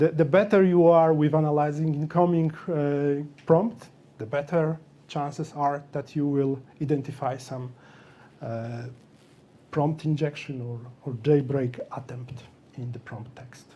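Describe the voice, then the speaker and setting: With a non-native accent, a man speaks at a fairly slow pace in a dark, mellow tone, his pitch fairly high and his pitch variation ordinary. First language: not English. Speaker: software developer speaker. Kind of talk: meetup tech talk. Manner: halting.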